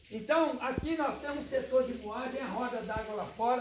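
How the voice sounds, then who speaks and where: A man's extremely high pitch with fairly even intonation at a moderate pace, amid noticeable background noise and audible room echo. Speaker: cachaça distillery owner, tour guide. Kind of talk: guided tour. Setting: on-site tour of distillery.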